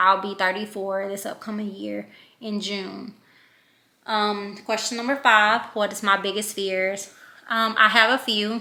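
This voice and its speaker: Speaking at a fairly slow pace in a Louisiana accent, a woman with a medium pitch has a bright, sharp tone and monotone, flat intonation. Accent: Louisiana country. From Louisiana, Shreveport. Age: 30s. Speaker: vlogger. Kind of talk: casual vlog talk.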